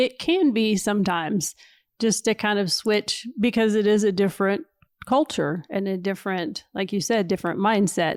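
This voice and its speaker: Someone speaks at a moderate pace with a Kentucky accent in a very clean recording with a silent background. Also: woman, medium pitch for a woman, ordinary pitch variation, dry, close sound with no echo. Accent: Southern US (Kentucky). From Kentucky, US South. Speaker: missionary. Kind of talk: casual interview chat.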